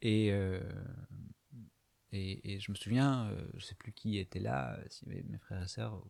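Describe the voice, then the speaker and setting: A man with a fairly low pitch speaks at a very slow pace, leaving long, frequent pauses. His pitch variation is ordinary, but his loudness swings widely. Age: 30s. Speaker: video diarist. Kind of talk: personal confessional monologue. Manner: halting, many hesitations.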